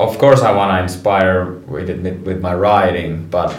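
A man speaks at a moderate pace in a fairly low pitch, with audible room echo and noticeable background noise. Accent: Finnish. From Finland, Rovaniemi. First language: Finnish. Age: 30s. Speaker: professional snowboarder. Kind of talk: interview.

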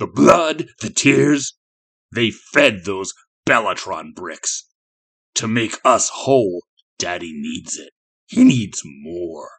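A man's put-on character voice at medium pitch, very slow, with hissing and long, frequent pauses. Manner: hissed.

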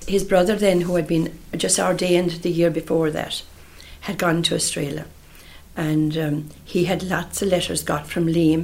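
With a Munster accent, a woman speaks at a moderate pace in a fairly low voice and a monotone, flat intonation. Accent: Irish, Munster. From Ireland, County Tipperary. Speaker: relative recalling family history. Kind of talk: oral history interview. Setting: interviewee's home in Killarney.

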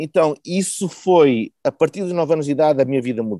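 In a dry, close sound with no echo, a man with a dark, mellow tone and a fairly high pitch speaks at a moderate pace with ordinary pitch variation. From Porto, northern Portugal. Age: 40s. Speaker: podcast guest, volunteer contributor. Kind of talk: casual interview conversation.

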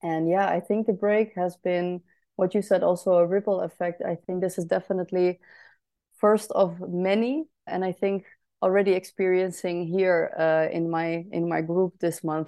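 A woman speaks at medium pitch in a monotone, flat intonation. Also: moderate pace. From Netherlands. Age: 20s. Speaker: entrepreneur. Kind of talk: casual chat.

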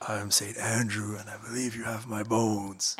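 A man puts on a raspy character voice at a medium pitch. He keeps it monotone, with flat intonation. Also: moderate pace. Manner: mock solemn.

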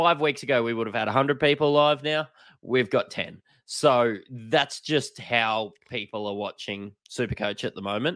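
In an Australian accent, a man speaks at a moderate pace and medium pitch with ordinary pitch variation, in a very clean recording with a silent background. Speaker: fantasy sports podcast co-host. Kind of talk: casual chat.

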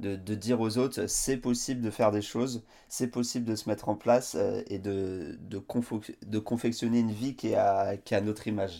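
A man speaks at a moderate pace in a fairly low pitch, his intonation fairly even. The tone is dark and mellow, and the recording is very clean with a silent background. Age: 30s. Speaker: adventurer, author and speaker. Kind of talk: interview. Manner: halting, many repetitions and fillers.

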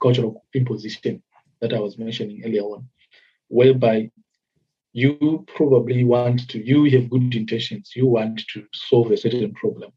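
A man's somewhat breathy, dark and mellow voice with fairly even intonation. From Zimbabwe. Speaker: development worker. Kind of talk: interview. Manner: hesitant, many fillers.

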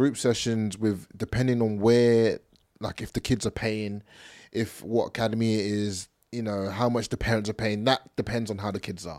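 A monotone, flat delivery at a moderate pace in an English accent, with a dry, close sound and no echo. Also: man, fairly low pitch for a man. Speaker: podcast co-host and football coach. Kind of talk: casual chat.

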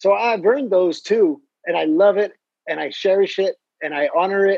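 A man speaks in an enthusiastic, animated tone. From Mexico. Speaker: golf course architect. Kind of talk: casual interview.

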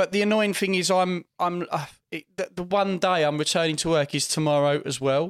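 Sounding dry and close with no echo, a man speaks at a high pitch. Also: moderate pace. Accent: English. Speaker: podcast host. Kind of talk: casual chat. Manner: animated, loud laugh.

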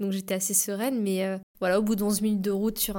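On a very clean recording with a silent background, a normal speaking voice talks at a fairly quick pace. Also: woman. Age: 20s. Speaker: para-athlete. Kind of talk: interview.

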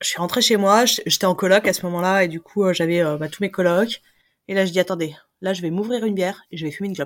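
A woman at medium pitch, speaking at a very fast pace with fairly even intonation, on a very clean recording with a silent background. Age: 30s. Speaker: interviewee sharing personal fertility story. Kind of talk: testimony. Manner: hesitant, many fillers.

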